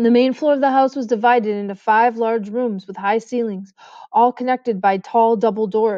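What you hear is someone reading aloud in a natural voice.

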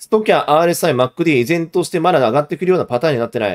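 A man speaks at a very fast pace in a fairly high voice with lively intonation over a quiet background. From Japan. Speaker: investment YouTuber, former securities broker; investment YouTuber. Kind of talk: live stream market analysis; casual market commentary livestream. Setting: live stream. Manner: casual, with filler words. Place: home room.

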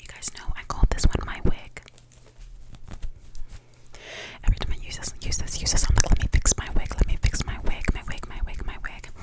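Whispering and soft-spoken, a woman speaks at a fairly quick pace. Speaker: ASMR creator. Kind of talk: whispered ASMR chat. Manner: soft whispered ASMR talk. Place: home room. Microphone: studio mic.

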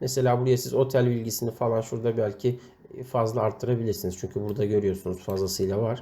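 The man's tone is dark and mellow, somewhat breathy. He keeps a moderate pace. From Turkey, Amasya. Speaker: website editor training writers. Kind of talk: tutorial.

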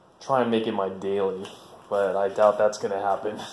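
With light background noise and audible room echo, a man talks at a moderate pace. His fairly low voice is monotone and flat. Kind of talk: casual walkaround commentary. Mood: relaxed, pleased. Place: garage. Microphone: phone near.

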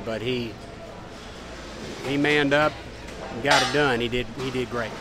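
Against noticeable background noise, a man at medium pitch talks at a moderate pace with fairly even intonation, the sound dry with no echo. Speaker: NASCAR crew chief. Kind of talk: post-race interview answer. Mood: pleased, candid. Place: garage.

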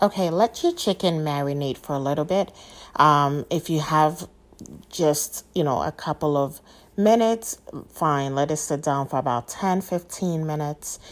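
A woman speaks at a moderate pace. Her pitch is very deep and low, with ordinary pitch variation. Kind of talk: tutorial. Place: kitchen.

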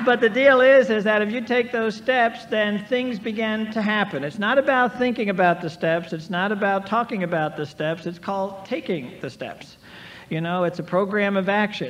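Amid light background noise, a man talks at a moderate pace and high pitch with ordinary pitch variation. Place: hall. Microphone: old recording.

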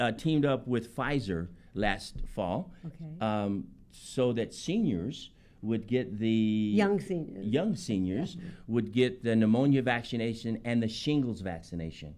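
A man talks at a fairly slow pace in a dark, mellow tone. His intonation is lively. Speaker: guest. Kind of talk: interview answer. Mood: upbeat, friendly. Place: studio. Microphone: studio mic.

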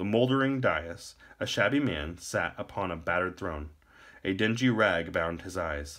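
This natural reading voice moves with lively intonation.

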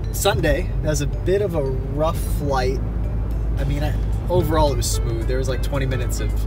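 A man talks at a fairly quick clip over loud background music. The sound is dry, with no echo at all. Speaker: vlogger. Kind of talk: casual vlog chat. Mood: relaxed, chatty. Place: car. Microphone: phone near.

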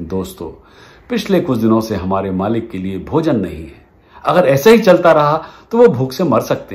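Fairly slow delivery with very wide pitch swings. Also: man. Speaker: storyteller. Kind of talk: storytelling narration with character voices. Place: home room. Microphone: phone near.

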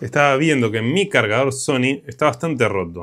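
With an Argentine accent, a man talks at a moderate pace using lively intonation. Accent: Argentine Spanish (Rioplatense). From Argentina. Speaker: electronics repair youtuber. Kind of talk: casual repair tutorial. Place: workshop.

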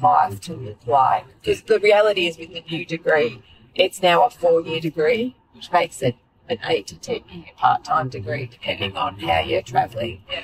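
With an Australian accent, a woman speaks at a moderate pace in a dry, close recording without echo. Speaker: podcast host. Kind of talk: casual chat. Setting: in a car.

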